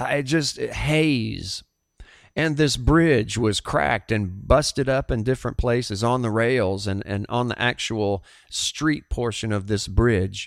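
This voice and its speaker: This man speaks at a very slow pace with a Southern US accent. His pitch is medium with ordinary variation, and the recording is very clean over a silent background. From US South. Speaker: pastor and podcast host. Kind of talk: sermon-style podcast monologue; testimony.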